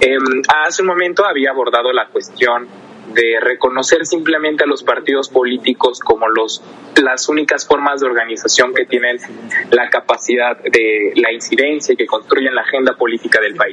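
A man's words come at a moderate pace. Background noise is noticeable throughout. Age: 20s. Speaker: legislative adviser. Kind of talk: podcast discussion. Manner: formal.

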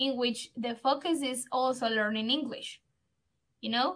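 A woman with a Spanish accent speaks slowly-ish at a fairly slow pace, her high voice bright and sharp in tone and her intonation fairly even. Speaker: English teacher, radio host. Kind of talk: casual educational chat. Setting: radio studio.

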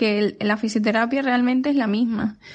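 Over a quiet background, a woman speaks at a fairly high pitch with fairly even intonation. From Spain, Seville. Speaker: pediatric physiotherapist. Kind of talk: recorded testimony.

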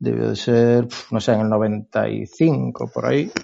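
A man speaks with fairly even intonation. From Galicia, Spain. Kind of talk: casual chat.

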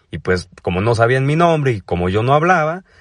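A man in a Mexico City accent, animated in tone, medium in pitch with very wide pitch swings, at a moderate pace, dry and close with no echo. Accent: Mexico City area Mexican Spanish. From Mexico, State of Mexico. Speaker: comedian podcaster. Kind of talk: comedic monologue.

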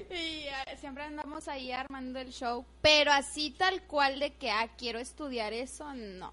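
A woman with a high pitch speaks at a fairly slow pace with hardly any pauses, her raised, projected voice bright, sharp and animated, showing ordinary pitch variation and big swings in loudness. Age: 20s. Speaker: student radio host. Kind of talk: casual chat.

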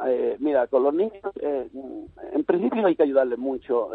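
A man in an unremarkable speaking voice talks at a moderate pace with ordinary pitch variation. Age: 60s. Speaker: youth football coach. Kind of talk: radio interview.

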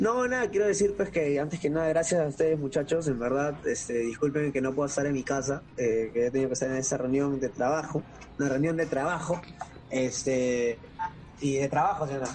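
A man talks fairly quickly at a fairly high pitch with ordinary pitch variation. Music plays in the background. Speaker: gamer and streamer. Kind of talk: casual interview. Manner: casual, halting with repetitions.

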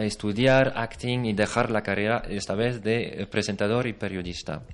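This man's pitch sits in the medium range. He speaks at a fairly slow pace with fairly even intonation. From France. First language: French (speaking Spanish). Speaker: actor. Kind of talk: interview. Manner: halting.

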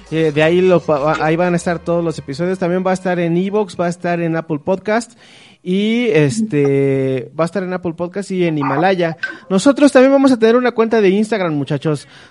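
A man's lively intonation at a fairly quick pace, over noticeable background noise. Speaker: podcast host. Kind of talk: casual chat. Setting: video call. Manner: halting.

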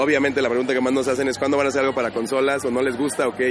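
Behind this man, background noise is noticeable. His voice sits at a medium pitch. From Michoacán, Mexico (Chilchota). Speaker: video game studio founder. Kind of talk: interview.

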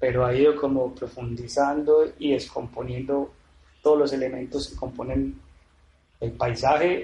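The words come out fairly slowly in a monotone, flat intonation. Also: man, medium pitch for a man. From Medellín, Colombia. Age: 30s. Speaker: painter and sculptor, former architect. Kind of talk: interview. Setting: artist's studio.

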